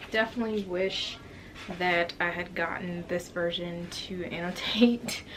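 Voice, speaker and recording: The speaker talks at a fairly slow pace with fairly even intonation over noticeable background noise. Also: woman, fairly low pitch for a woman. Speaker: book vlogger. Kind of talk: casual vlog talk to camera.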